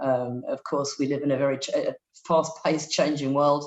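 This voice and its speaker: Delivered in a British accent, a woman's very deep, low voice runs at a fairly quick pace with monotone, flat intonation. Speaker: non-profit director and human rights lawyer. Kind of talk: webinar presentation. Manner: hesitant, many fillers.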